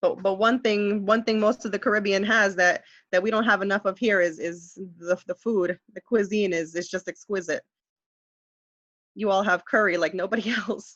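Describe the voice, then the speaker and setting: In an American accent, a woman talks at a moderate pace with fairly even intonation over a quiet background. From US, New York. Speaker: high school ESL teacher. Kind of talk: webinar tutorial. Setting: online webinar. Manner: clear, careful speaking. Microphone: video call.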